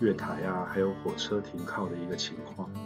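This man's fairly low voice is heard with music in the background. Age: middle-aged. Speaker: immigrant vlogger. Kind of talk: travel vlog voiceover narration. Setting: basic non-professional recording, somewhat noisy. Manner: casual, conversational.

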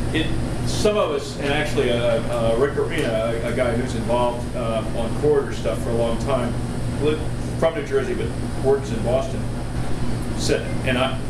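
A man talks at a fairly quick pace against loud background noise. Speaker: presenter. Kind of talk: informal talk discussion answer. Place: hall. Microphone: camera far.

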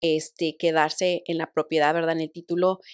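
With a quiet background and a dry sound with no echo, a woman speaks at a moderate pace in a fairly low pitch with monotone, flat intonation. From Mexico, Monterrey; Nuevo León, Mexico. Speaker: title company professional; guest. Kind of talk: interview. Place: studio. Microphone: studio mic.

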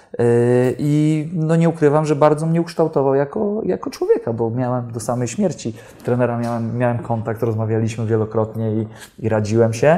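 Ordinary pitch variation runs through a man's speech, delivered at a moderate pace. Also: medium pitch for a man. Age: 40s. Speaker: football coach. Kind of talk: interview Q&A. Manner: halting, frequent repetitions. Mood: reflective, personal. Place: studio.

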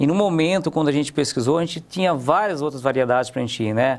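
Very fast and lively in intonation, a man talks in a fairly high voice. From Paraná, Brazil (raised in interior São Paulo). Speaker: business owner; guest. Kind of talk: interview. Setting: studio. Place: studio.

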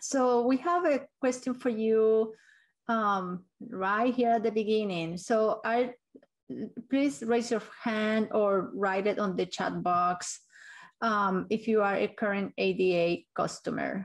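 Over a quiet background, a woman speaks at a very slow pace with very even loudness and ordinary pitch variation. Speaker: meeting facilitator, transport consultant. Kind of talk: virtual public meeting presentation. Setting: video call. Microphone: video call.

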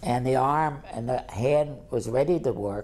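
A man speaks at medium pitch with a dark, mellow tone and ordinary pitch variation.

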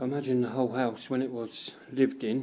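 A man with a medium pitch and a dark, mellow tone talks at a fairly quick pace, his pitch moving very little.

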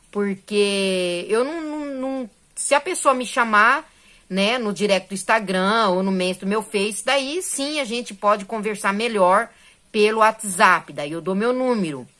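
In a bright, sharp and animated tone, a woman speaks at a fairly slow pace against a quiet background. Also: fairly high pitch for a woman, lively intonation. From Brazil. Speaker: crochet YouTuber. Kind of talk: casual tutorial vlog. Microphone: phone near.

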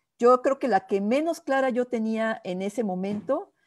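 The speaker's pitch varies in an ordinary way over a quiet background. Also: woman. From Mexico City. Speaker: diplomat; guest. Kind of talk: interview. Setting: video call. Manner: halting. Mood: reflective, recalling her career. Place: home room. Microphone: video call.

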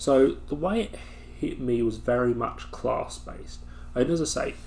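A man is speaking. There is light background noise. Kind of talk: casual vlog chat. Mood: reflective, calm. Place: home room. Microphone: webcam.

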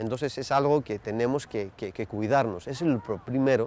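His pitch varies in an ordinary way. The speaker is a man with a medium voice. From Netherlands and Greece. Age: 40s. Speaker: journalism lecturer and foreign correspondent. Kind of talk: interview. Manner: halting, many hesitations and repetitions.

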